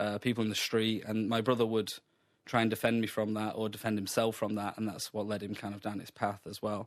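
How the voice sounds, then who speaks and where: Talking at a fairly quick pace in a Sheffield accent, a man with a fairly low pitch keeps a monotone, flat intonation over a quiet background. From Sheffield, England. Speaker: comedian. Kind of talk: radio interview answer.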